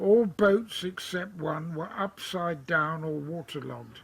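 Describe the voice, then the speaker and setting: A fairly high-pitched man speaking very slowly, with ordinary pitch variation. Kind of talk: reading from father's writings and interview.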